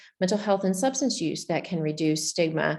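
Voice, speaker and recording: A woman speaks with a Southern US accent. Her pitch is fairly low, with ordinary variation. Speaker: public health researcher. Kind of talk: conference presentation.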